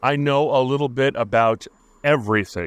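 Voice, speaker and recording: Over a quiet background, a man with an American accent talks with ordinary pitch variation in a dry, close sound with no echo. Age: 50s. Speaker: podcast host. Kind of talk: solo monologue podcast. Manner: slow, halting speaker.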